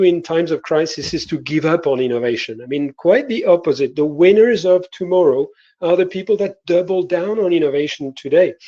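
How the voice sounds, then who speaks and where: Over a quiet background, a man with a French accent speaks at a moderate pace in a high pitch with a dark, mellow tone. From France. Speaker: innovation consultant. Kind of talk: panel presentation. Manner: hesitant, many filler words.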